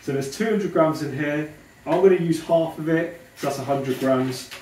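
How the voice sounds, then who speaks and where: The speech runs at a moderate pace, with noticeable background noise behind it. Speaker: fitness vlogger cooking. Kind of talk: cooking tutorial. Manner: casual, chatty.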